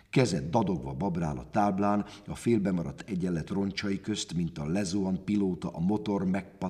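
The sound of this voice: Reading aloud in an unforced voice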